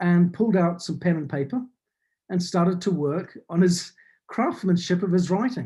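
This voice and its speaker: At a fairly slow pace, a dark, mellow voice shows ordinary pitch variation on a very clean recording with a silent background. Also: man. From New Zealand. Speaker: business consultant and author. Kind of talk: talk. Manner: clear, articulate.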